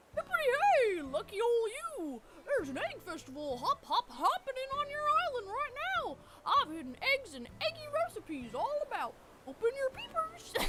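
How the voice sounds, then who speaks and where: A put-on character voice, extremely high in pitch, plays with a playful tone and very wide pitch swings. Loud background noise runs underneath. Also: moderate pace. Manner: goofy, playful.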